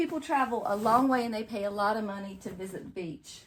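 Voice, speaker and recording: Here a woman speaks in a North Carolina accent. Her pitch is fairly high and varies in an ordinary way. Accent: North Carolina Southern. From North Carolina coast, US South. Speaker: home decor vlogger. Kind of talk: casual vlog chat. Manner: rambling conversational, chatty.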